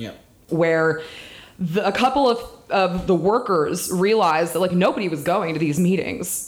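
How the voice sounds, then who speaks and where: An ordinary speaking voice: a woman with an American accent, fairly low pitch, ordinary pitch variation and a moderate pace. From Washington DC area (Northern Virginia). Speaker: political organizer, former baker. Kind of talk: casual chat.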